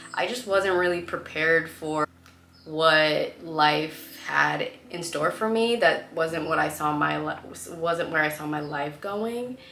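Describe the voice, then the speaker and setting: In a Californian accent, a woman talks at a fairly slow pace with a fairly low pitch and ordinary pitch variation, with noticeable background noise behind her. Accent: Californian American English. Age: 20s. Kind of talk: casual storytime talk to camera.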